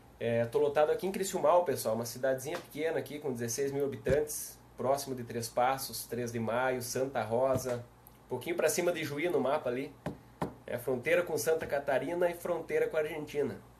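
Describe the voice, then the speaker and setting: Through noticeable background noise, a man with a southern Brazilian accent speaks at a fairly quick pace, his fairly high pitch showing ordinary variation. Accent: southern Brazilian (gaúcho). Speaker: police chief and law speaker. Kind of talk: live stream talk. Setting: live video stream. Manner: casual, friendly.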